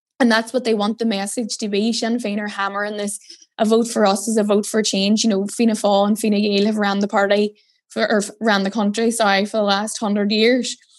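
A woman with a Northern Irish accent, medium in pitch and flat, monotone in intonation. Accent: Derry. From Northern Ireland, Derry. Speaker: political journalist. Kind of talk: casual interview.

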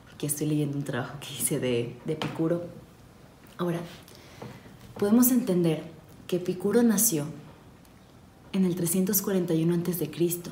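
A woman with a fairly low voice speaks in a calm tone with ordinary pitch variation, and room echo can be heard. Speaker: podcast host. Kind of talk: ASMR-style philosophy reading. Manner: soft, calm and slow; hesitant, many fillers.

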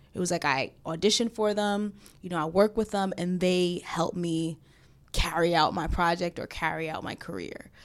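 A woman talks at a moderate pace in a New York accent. Her pitch is fairly low and her intonation fairly even. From New York City. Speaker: filmmaker and actress. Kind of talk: casual chat. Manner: casual, filler-heavy.

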